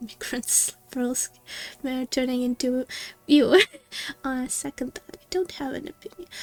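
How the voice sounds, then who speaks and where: A woman's high voice with a Russian accent in a dry, close sound with no echo. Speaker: gaming streamer. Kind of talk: live game stream commentary. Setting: live stream. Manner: halting, many fillers and restarts.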